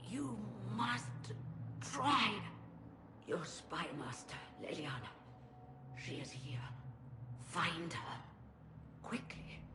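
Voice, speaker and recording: A female-sounding put-on character voice, very deep and low, moves at a very slow pace with long, frequent pauses over loud background noise. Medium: video game.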